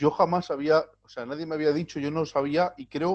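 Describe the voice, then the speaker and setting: Fairly quick and fairly high-pitched, this man has an unremarkable speaking voice. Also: quiet background. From Spain, Gitano community. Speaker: video channel host. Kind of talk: interview.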